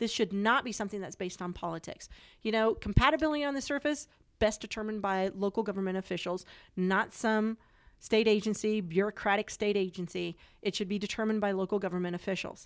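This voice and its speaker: A woman with a Western US accent talks at a very fast pace and medium pitch, with ordinary pitch variation, on a very clean recording with a silent background. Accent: General American (Western US). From Colorado. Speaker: politician. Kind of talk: interview.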